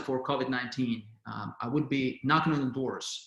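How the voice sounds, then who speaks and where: With a non-native accent, a man talks at a moderate pace, and audible room echo surrounds his voice. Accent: foreign. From outside the US. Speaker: political candidate. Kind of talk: candidate answer at town hall. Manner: halting.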